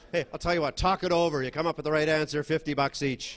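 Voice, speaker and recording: A man talks at a fairly quick pace with fairly even intonation in a normal speaking voice. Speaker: stand-up comedian. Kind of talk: stand-up comedy set.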